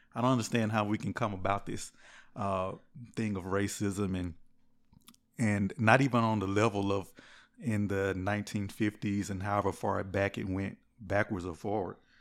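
A man's fairly low voice in monotone, flat intonation, at a moderate pace with long, frequent pauses, on a very clean recording with a silent background. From US South, Mississippi Gulf Coast. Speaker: church member. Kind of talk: casual chat. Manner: halting, repeats words.

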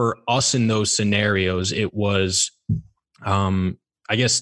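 A man speaks in an ordinary speaking voice, the sound dry and close with no echo, on a very clean recording with a silent background. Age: 20s. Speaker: real estate asset manager. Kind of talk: casual chat.

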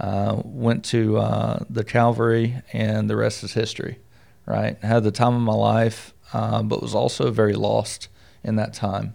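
Recorded very cleanly against a silent background, a man speaks with an American accent at a fairly slow pace. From US South. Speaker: army veteran and entrepreneur. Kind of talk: casual interview. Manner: halting, many fillers.

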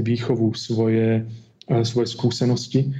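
This man's voice has a dark, mellow tone at a moderate pace, with audible room echo around it. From Slovakia, Martin. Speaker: experimental physicist. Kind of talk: interview.

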